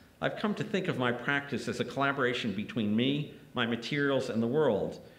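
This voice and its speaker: There is audible room echo around a man who speaks at a medium pitch with lively intonation. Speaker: art critic and poet; poet. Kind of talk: lecture. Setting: lecture hall with audience. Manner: formal, academic. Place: hall. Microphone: podium.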